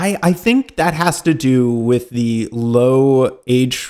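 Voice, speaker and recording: A man speaks with an ordinary speaking voice, medium in pitch, with ordinary pitch variation. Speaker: podcast co-host. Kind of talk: casual chat.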